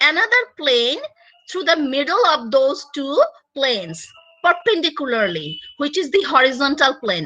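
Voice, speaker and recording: With a raised, projected voice, a woman speaks at a high pitch with very wide pitch swings. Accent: Bengali. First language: Bengali. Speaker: university lecturer. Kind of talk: lecture. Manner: loud; halting.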